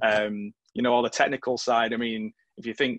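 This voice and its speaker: A man with a Mancunian accent, medium pitch and a bright, sharp tone, speaking at a moderate pace in a monotone, flat intonation, with a dry, close sound and no echo. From northern England, Stockport. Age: 40s. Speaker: interviewer, teacher. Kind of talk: interview.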